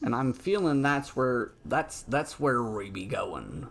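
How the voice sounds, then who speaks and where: A gruff, put-on character voice from a man, medium in pitch, at a fairly slow pace. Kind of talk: archaic pirate speech. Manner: gruff, in-character.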